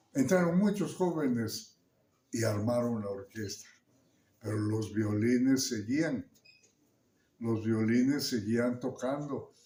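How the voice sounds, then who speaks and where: A man talks at a very slow pace, his medium-pitched voice dark and mellow in tone, with ordinary pitch variation. Long pauses come often. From Santiago Juxtlahuaca, Mixteca region, Oaxaca, Mexico. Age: 80s+. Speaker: musician. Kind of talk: interview answer. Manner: hesitant, with fillers.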